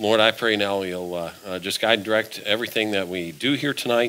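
A man's voice, a plain, everyday voice, pitched fairly low, with typical pitch movement and an even, moderate tempo. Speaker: preacher. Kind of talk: sermon. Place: church.

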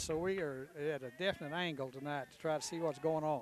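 A man with a Southern US accent talks at a moderate pace with ordinary pitch variation, his dry voice free of echo over noticeable background noise. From Tennessee. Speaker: baseball color commentator. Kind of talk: live commentary. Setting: outdoors. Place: stadium. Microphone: headset.

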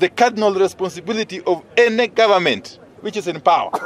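A man at a fairly quick pace, with ordinary pitch variation and a dry sound with no echo. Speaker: politician addressing press. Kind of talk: press statement. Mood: firm, concerned. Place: street.

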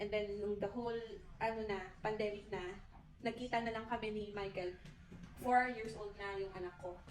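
Monotone, flat intonation from a woman at medium pitch, in audible room echo over noticeable background noise. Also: moderate pace. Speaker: interviewee, Filipino mother who migrated to Finland. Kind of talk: interview.

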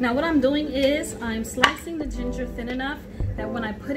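A woman is speaking. Loud music plays behind her. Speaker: home cook vlogger. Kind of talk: tutorial. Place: kitchen. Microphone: camera far.

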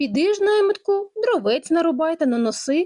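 A woman's squeaky, put-on character voice, extremely high-pitched, at a moderate pace. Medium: read story. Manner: sly, commanding.

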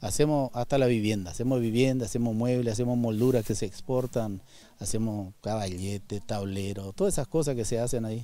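A man with a dark, mellow tone and a medium pitch talks at a fairly quick pace with fairly even intonation, in a dry sound with no echo. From Argentina, Misiones. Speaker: rancher and timber business owner. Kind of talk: interview. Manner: halting, with repetitions and fillers. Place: forest. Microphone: handheld.

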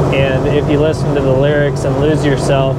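Speech moves at a moderate pace beneath loud background noise. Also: man. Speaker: vlogger. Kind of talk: casual vlog chat. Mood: relaxed, joking. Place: car. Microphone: phone near.

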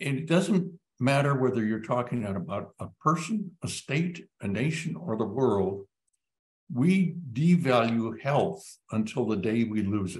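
A man speaks at a fairly slow pace in a somewhat breathy voice, his pitch swinging very widely. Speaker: epidemiologist and physician; guest. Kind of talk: panel discussion. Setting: online live web event. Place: home room. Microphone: webcam.

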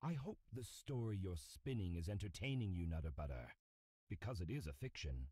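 The voice is somewhat breathy with a dark, mellow tone, moving at a fairly quick pace with very wide pitch swings and very even loudness. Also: man, very deep, low pitch for a man. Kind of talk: noir audio drama, scripted character dialogue. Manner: formal, aloof and icy, grave and measured.

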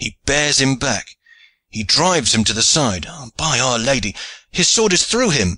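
Putting on a character voice, a man speaks at a fairly slow pace and medium pitch, with a bright, sharp tone and big pitch swings.

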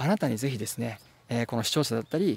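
A man speaks with vocal fry in a dry sound with no echo. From Japan. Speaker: translator and English teacher; English tutor. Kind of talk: tutorial; tutorial talk to camera. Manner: frequent filler 'e' hesitations; polite formal. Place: forest. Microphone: phone near.

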